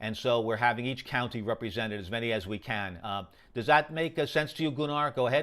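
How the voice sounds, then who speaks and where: A man with a New York accent speaks very fast at a medium pitch with ordinary pitch variation. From New York, Queens. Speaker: amateur radio operator. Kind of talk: radio contact exchange. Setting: amateur radio. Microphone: very good audio on the air.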